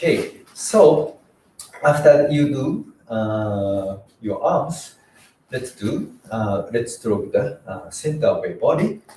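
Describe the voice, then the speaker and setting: A man speaks with a Japanese accent. His pace is very slow. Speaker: karate instructor. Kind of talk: tutorial. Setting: live stream. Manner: halting.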